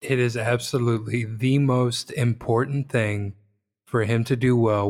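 A man speaks at a fairly slow pace in an ordinary speaking voice of medium pitch. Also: very clean recording, silent background. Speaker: podcast co-host. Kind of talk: casual podcast chat.

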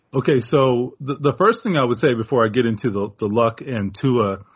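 Speaking at a moderate pace with an American accent, a man with a medium-pitched, somewhat breathy voice shows ordinary pitch variation. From Miami, Florida. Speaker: sportswriter. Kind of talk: casual interview.

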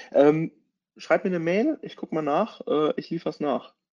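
A man speaks at a high pitch with lively intonation and a dark, mellow tone. The sound is dry and close, with no echo. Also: long, frequent pauses, big swings in loudness. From Germany, Hesse (Taunus). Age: 30s. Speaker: content marketing consultant and photographer. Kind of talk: webinar presentation. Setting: online webinar.

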